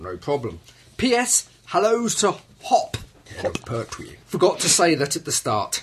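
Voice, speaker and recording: A man talks very slowly, leaving long, frequent pauses, as noticeable background noise continues. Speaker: podcast host. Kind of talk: casual chat.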